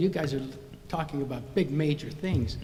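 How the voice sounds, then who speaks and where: With audible room echo around him, a man talks at a fairly high pitch with ordinary pitch variation. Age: 80s+. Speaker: resident speaking at public comment. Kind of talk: public comment at city council meeting. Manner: halting.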